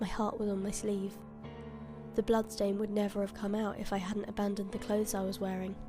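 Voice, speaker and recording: With music in the background, a woman speaks fairly quickly at a medium pitch in a flat monotone. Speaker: horror story narrator. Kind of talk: horror story reading.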